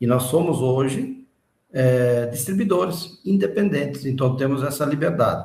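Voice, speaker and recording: Audible room echo surrounds a man with a medium pitch. His voice is somewhat breathy, and his intonation is lively. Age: 60s. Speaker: independent distributor. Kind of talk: interview.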